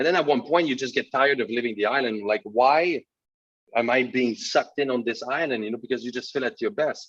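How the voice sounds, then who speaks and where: A man's medium-pitched voice with a French Canadian accent, ordinary pitch variation and a fairly quick pace. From Quebec, Canada (Sept-Îles, north shore). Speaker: finance and crypto expert. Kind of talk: webinar interview. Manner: halting, many fillers and repeats.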